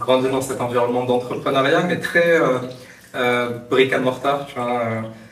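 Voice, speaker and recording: Amid noticeable background noise and audible room echo, a man talks at a fairly slow pace with monotone, flat intonation. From Morocco. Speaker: startup founder. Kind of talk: podcast interview. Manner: hesitant, many fillers.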